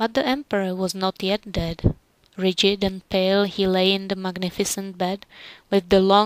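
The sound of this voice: The voice reads in an unforced way.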